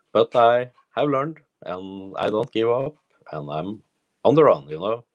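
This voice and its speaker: Speaking with a Norwegian accent and lively intonation, a man keeps a moderate pace in a dry, close sound with no echo. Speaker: personal development coach. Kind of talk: solo livestream monologue. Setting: Facebook live video. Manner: halting.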